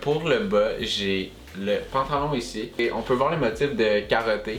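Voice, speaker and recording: A man speaks with a Quebec accent while music plays in the background. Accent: Quebecois French. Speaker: YouTuber. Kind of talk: casual talk to camera.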